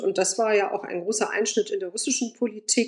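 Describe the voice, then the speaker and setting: Here a woman talks at a fairly high pitch. Her pitch swings very widely. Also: quiet background. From Germany (Bonn) and Moscow. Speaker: journalist and editor, Eastern Europe expert. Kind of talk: interview.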